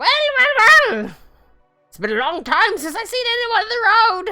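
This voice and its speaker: A put-on character voice at an extremely high pitch, moderate pace, faint music in the background. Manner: excited.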